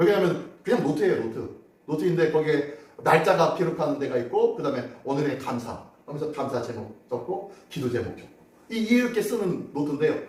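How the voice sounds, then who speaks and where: A man talks at a fairly quick pace, his pitch fairly high and his intonation lively, with big swings in loudness. Audible room echo and noticeable background noise fill the recording. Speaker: pastor. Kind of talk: sermon. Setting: church. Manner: conversational, asks congregation questions.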